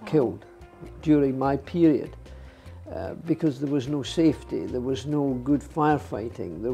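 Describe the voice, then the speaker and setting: With music playing in the background, a man talks in a fairly high voice. His pace is fairly slow, and his pitch varies in an ordinary way. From Scotland. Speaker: retired racing driver. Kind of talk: interview answer.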